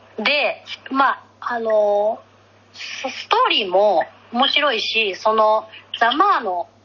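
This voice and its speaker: A woman speaks at a very slow pace with lively intonation and a fairly high pitch. Noticeable background noise runs behind her. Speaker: podcast co-host. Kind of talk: casual chat. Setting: remote recording.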